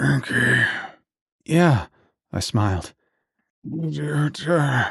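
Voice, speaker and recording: A man's raspy, put-on character voice at medium pitch, delivered at a very slow pace. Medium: read story. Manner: labored, halting.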